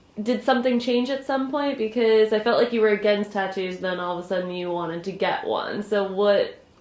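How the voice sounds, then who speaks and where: A woman talks in an ordinary speaking voice at a fairly high pitch. Her pace is fairly quick, with hardly any pauses. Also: ordinary pitch variation. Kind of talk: casual vlog and interviewing.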